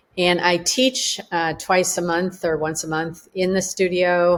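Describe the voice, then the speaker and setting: Speaking with a Chicago accent, a woman uses a fairly low pitch and fairly even intonation. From US Midwest, Chicago suburb. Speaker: collage artist. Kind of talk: artist remarks.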